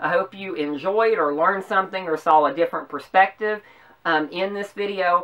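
A woman with a Southern US accent speaks at a moderate pace in a medium pitch, with ordinary pitch variation. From US South. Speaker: YouTuber. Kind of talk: political commentary vlog. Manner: passionate. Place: home room. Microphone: camera far.

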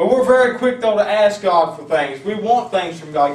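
Fairly quick pace and lively intonation, with audible room echo. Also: man. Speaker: pastor; preacher. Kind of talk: fiery Pentecostal sermon with call-and-response exhortation. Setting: church. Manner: animated, punctuating nearly every sentence with amen and praise God; rousing, urging the congregation to stand and march forward. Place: church. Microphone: camera far.

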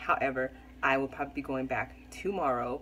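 A woman talks at a moderate pace. Light background noise can be heard. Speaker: mom vlogger. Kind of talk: casual vlog chat. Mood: relaxed, chatty, some laughs. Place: kitchen. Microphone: phone near.

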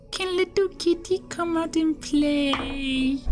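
Over clear background noise, a high-pitched put-on character voice speaks at a very slow pace. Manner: creepy, coaxing.

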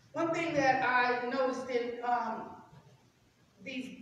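Strong echo fills the room, with light background noise underneath. A woman speaks at a high pitch and a fairly slow pace. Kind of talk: scripture reading and teaching. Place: church. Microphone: camera far.

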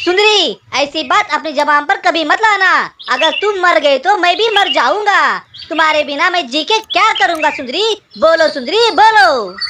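A cartoonish character voice at an extremely high pitch. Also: moderate pace. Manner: pleading, distressed.

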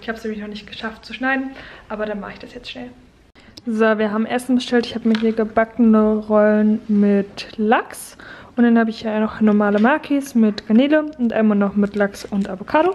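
Her loudness swings widely. The woman keeps her intonation fairly even, though. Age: 20s. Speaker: vlogger. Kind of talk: casual vlog talk to camera. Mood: calm, encouraging.

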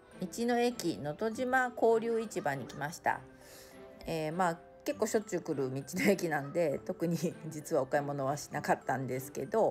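Over music in the background, a woman speaks in a relaxed tone at a fairly low pitch. Her voice has very wide pitch swings and big swings in loudness. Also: moderate pace. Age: 50s. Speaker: vlogger. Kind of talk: travel vlog narration. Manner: relaxed, casual.

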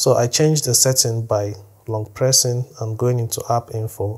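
Against a quiet background, a somewhat breathy man talks at a fairly quick pace. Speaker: tech tutorial creator. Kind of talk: tutorial. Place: home room.

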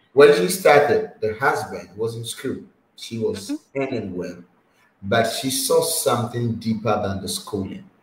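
A man is heard in a room with audible echo. Light background noise sits behind him. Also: fairly slow pace, big swings in loudness. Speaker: online talk show host. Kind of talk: interview. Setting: video call. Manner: animated, laughs often. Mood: warm, smiling, advising.

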